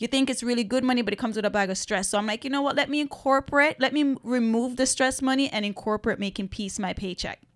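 Her pitch high with ordinary variation, a woman speaks at a very fast pace with hardly any pauses. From Caribbean. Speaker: podcast co-host. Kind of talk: casual conversation.

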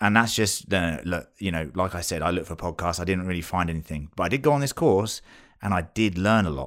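With a British accent, a man speaks at a very deep, low pitch with ordinary pitch variation. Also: very clean recording, silent background. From UK. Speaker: podcast co-host and new father. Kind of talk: casual chat.

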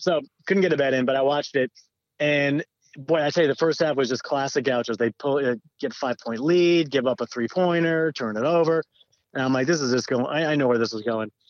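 In an American accent, a man with a plain, everyday voice and a fairly high pitch talks at a fairly quick pace with ordinary pitch variation. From Southern California. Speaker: commercial real estate developer, former college sports editor. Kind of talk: casual chat.

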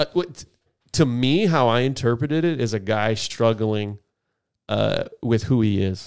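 An ordinary speaking voice from a man, medium in pitch and fairly slow in pace, with ordinary pitch variation, very even loudness, and a very clean recording with a silent background. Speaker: podcast co-host. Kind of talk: casual banter podcast chat. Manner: joking, casual.

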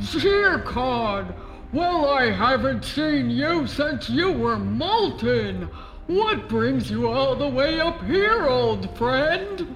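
A man's booming, put-on character voice at a very slow pace, with clear background noise. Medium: audio drama.

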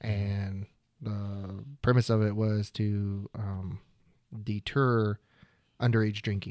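With an American accent, a man speaks in a fairly low, dark, mellow voice with monotone, flat intonation. The recording is very clean, with a silent background. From Oklahoma. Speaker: videographer. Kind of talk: casual chat.

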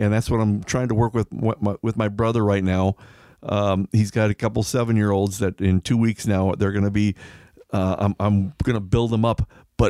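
A man with an American accent speaks at a moderate pace in a dark, mellow tone with fairly even intonation. The very clean recording has a silent background and a dry, close sound with no echo. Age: 70s. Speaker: former professional angler. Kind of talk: casual chat.

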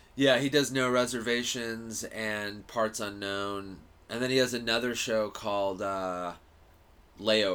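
A man with an American accent speaks at a medium pitch in a bright, sharp tone. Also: fairly even intonation, fairly slow pace. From US West, Los Angeles suburbs. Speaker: stand-up comedian. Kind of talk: casual chat.

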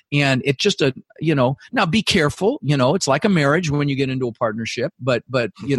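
Somewhat breathy and energetic, the voice races at a very fast pace with lively intonation and hardly any pauses, in a dry, close sound with no echo. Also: man. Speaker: real estate investor and goal-setting coach. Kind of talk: interview.

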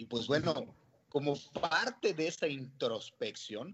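Speaking at a fairly slow pace, a man talks in a fairly high pitch. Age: 30s. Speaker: restaurant entrepreneur. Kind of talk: interview. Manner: hesitant, many fillers.

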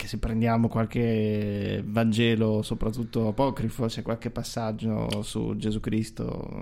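A man with a medium pitch and a dark, mellow tone speaks at a fairly slow pace in a monotone, flat intonation, with hardly any pauses. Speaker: podcast co-host. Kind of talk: casual chat. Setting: video recording.

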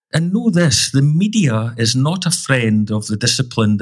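With lively intonation, a somewhat breathy man speaks at a moderate pace and a medium pitch. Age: 50s. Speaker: financial planner. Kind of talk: scripted narration. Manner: formal.

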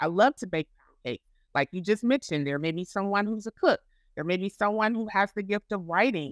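This woman has a normal speaking voice at a medium pitch, talking at a fairly quick pace with big swings in loudness in a dry, close sound with no echo. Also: lively intonation. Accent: American. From Florida. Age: 40s. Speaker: ministry founder. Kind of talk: casual interview.

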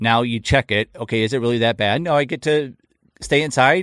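Recorded very cleanly against a silent background, a normal speaking voice moves at a moderate pace with ordinary pitch variation and a dry, close sound with no echo. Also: man. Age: 30s. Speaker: podcast host. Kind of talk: casual chat.

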